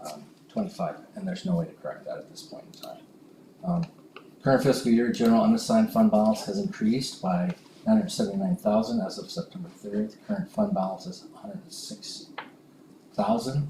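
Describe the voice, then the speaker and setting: Speaking at a fairly quick pace, a man with a high pitch makes very wide pitch swings and big swings in loudness over noticeable background noise. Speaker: school superintendent. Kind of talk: board meeting report. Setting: school board meeting. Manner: hesitant with fillers.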